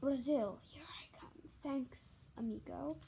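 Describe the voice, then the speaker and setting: Using a put-on character voice, a woman speaks at a fairly slow pace. Hissing can be heard. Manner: slow, low hissing.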